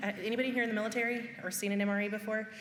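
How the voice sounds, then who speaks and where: A woman at a medium pitch speaks very fast. There is audible room echo and noticeable background noise. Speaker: high school career education staff. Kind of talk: parent information presentation.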